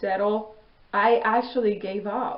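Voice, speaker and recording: A woman's voice at a medium pitch. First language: not English. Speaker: vlogger, Air Force veteran. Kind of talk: personal storytelling monologue. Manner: casual, conversational.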